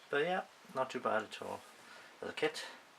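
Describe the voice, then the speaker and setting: Here a man speaks in a Welsh accent. His tone is relaxed and his pace fairly slow. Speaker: scale model builder. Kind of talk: casual show and tell to camera. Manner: hesitant, relaxed, many filler sounds.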